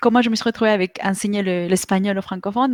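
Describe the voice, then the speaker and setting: A woman with a Spanish accent talks in fairly even intonation on a very clean recording with a silent background. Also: dry, close sound with no echo. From Mexico. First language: Spanish (speaking French). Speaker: online Spanish teacher. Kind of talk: interview. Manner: halting, many fillers.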